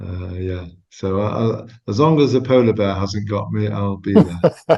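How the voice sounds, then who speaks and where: Speaking with a Manchester accent, a man has a fairly low pitch, a dark, mellow tone, ordinary pitch variation and a fairly slow pace. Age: 60s. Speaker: osteopath. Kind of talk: casual chat.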